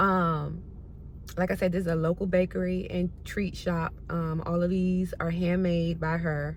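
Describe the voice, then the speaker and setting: A woman's somewhat breathy voice, fairly low in pitch. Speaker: lifestyle vlogger. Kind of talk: casual vlog talk. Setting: at home. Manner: stutters.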